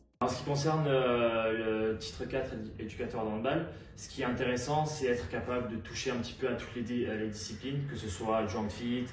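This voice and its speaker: At a fairly quick pace, a man speaks with fairly even intonation and medium pitch, amid noticeable background noise and audible room echo. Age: 20s. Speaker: handball coach. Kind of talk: testimony. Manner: hesitant, many filler sounds.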